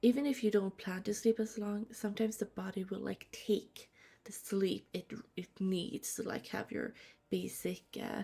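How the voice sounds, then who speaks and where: Soft-spoken with a dark, mellow tone, a woman talks at a moderate pace and medium pitch, her intonation fairly even and touched with vocal fry. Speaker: streamer. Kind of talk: gaming livestream chat. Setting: home livestream at night.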